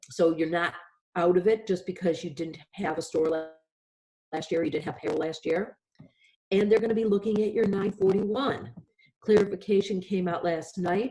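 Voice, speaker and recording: A woman speaks at a moderate pace with a medium pitch and ordinary pitch variation. Her speech has long, frequent pauses. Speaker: lawyer panelist. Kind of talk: webinar presentation.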